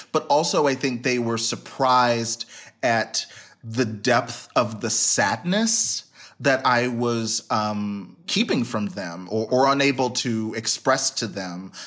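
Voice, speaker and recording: The speaker has an American accent and talks at a very slow pace. Pitch varies in an ordinary way. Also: man, medium pitch for a man. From US, North Texas (suburbs north of Dallas). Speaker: writer and poet. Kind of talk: interview.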